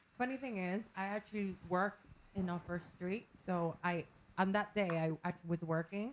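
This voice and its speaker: A soft-spoken woman talks at a moderate pace. Her pitch is medium, with ordinary variation. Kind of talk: radio interview. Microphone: sounds quiet.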